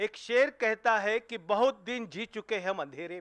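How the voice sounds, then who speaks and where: This man speaks with a high pitch. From Mumbai, Maharashtra. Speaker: journalist, channel editor. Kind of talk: tribute speech.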